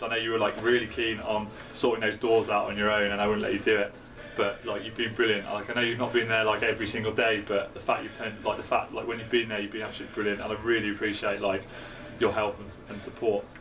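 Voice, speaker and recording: Talking at a very fast pace with a British accent, a man keeps a medium pitch in monotone, flat intonation, amid noticeable background noise and audible room echo. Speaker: student election candidate. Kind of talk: casual video message. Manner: halting, many fillers.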